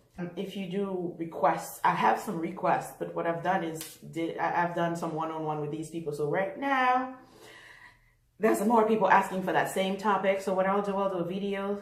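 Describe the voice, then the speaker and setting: With audible room echo, a woman talks at a medium pitch with ordinary pitch variation. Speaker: fashion designer and former nurse vlogger. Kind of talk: casual vlog monologue. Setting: living room at home. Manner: fast.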